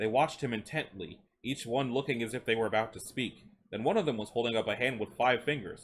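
This is a natural reading voice. It carries the text through.

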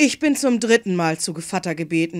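A woman's plain, everyday voice at medium pitch, on a very clean recording with a silent background. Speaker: fairy tale reader. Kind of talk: bedtime story reading aloud. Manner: gentle, unhurried storyteller voice with playful character voices.

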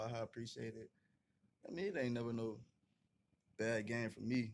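A man talks at a fairly quick pace with fairly even intonation. Light background noise can be heard. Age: 20s. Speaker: college football player; interview guest. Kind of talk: interview. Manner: casual, filler-heavy. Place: home room. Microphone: studio mic.

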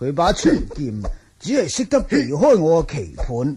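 This man puts on a character voice at a moderate pace, fairly high-pitched, with very wide pitch swings, a husky, rough edge and a dark, mellow tone.

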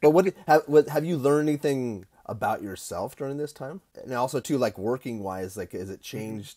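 The voice has a dark, mellow tone and lively intonation at a fairly quick pace. Loudness swings widely over a quiet background. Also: man. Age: 50s. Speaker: barbecue podcast host. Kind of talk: casual interview. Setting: video call. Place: home room. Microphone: earbuds.

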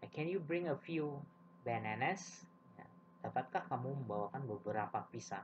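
A man speaks at a medium pitch and a moderate pace, with vocal fry. His pitch swings very widely. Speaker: English teacher. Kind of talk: lecture. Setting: video lesson for elementary students.

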